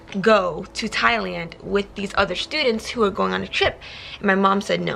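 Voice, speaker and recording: With music in the background, a woman speaks at a medium pitch. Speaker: YouTuber. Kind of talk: storytime vlog. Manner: fast; stumbles over words.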